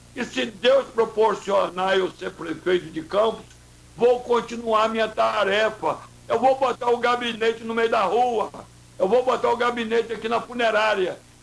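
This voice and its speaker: A man speaks at a fairly slow pace with a high pitch and fairly even intonation. Noticeable background noise runs underneath. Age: 70s. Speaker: mayoral candidate. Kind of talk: radio interview.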